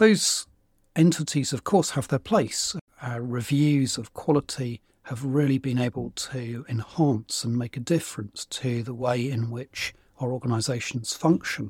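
A man with a British accent speaks at a fairly slow pace in a medium-pitched, somewhat breathy voice, recorded very cleanly against a silent background with a dry, close sound and no echo. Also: ordinary pitch variation. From UK. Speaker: podcast host, organisational change consultant. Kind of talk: solo monologue.

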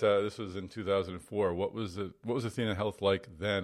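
An unremarkable speaking voice, a man's, comes at a fairly quick pace with a fairly low pitch, fairly even intonation and an American accent. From Boston area. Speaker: podcast host. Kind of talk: interview; scripted outro.

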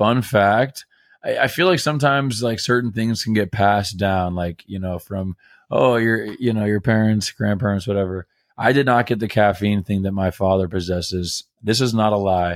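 This man has an ordinary speaking voice with an American accent and a fairly low pitch. He keeps a moderate pace and ordinary pitch variation, recorded with a dry, close sound and no echo. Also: very clean recording, silent background. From Greece and US. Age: 30s. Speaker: podcast co-host. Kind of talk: casual chat.

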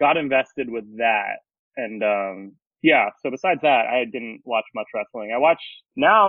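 This man has an unremarkable speaking voice at a medium pitch, with an American accent. He keeps a moderate pace. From Alaska, US. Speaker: wrestling and music photographer. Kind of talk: casual chat.

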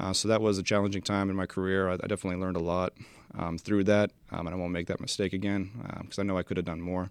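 A man's very deep, low voice in a General American accent, very fast and monotone with flat intonation, against a quiet background. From Washington State, US Pacific Northwest. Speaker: air force aircraft maintenance sergeant. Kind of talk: podcast interview. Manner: hesitant, many fillers.

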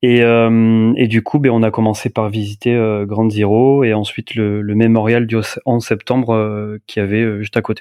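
A man with a medium pitch talks at a fairly slow pace in a monotone, flat intonation. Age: 30s. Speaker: photographer and videographer. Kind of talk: casual interview about travel. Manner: hesitant, many fillers.

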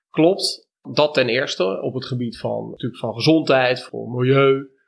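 In a normal speaking voice, a man talks at a fairly slow pace and medium pitch with ordinary pitch variation. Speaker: dairy and cheese farmer. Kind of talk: interview conversation. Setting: on location at the farm.

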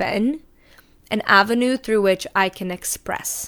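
At a fairly slow pace, a woman talks at a medium pitch with ordinary pitch variation. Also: very clean recording, silent background. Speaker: podcast host. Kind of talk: solo podcast monologue. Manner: articulate.

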